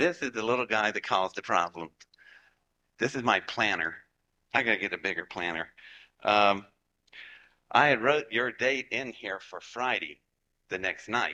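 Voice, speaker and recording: With a Southern US accent, a man speaks at a moderate pace and medium pitch, using lively intonation and a bright, sharp tone. He leaves long, frequent pauses. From Appalachia, West Virginia / Georgia. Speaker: rocket scientist. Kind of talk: lecture to live audience. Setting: stage with audience. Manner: animated.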